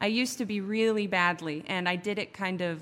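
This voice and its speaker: A woman at a medium pitch and moderate pace, a plain, everyday voice. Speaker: radio co-host and substitute teacher. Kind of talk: casual chat. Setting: radio studio.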